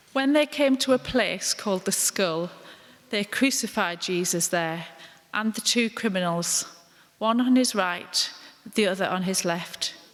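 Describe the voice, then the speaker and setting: A woman speaks in an ordinary speaking voice at medium pitch. Her pace is fairly slow and her intonation lively. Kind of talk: dramatised scripture reading, narrator part.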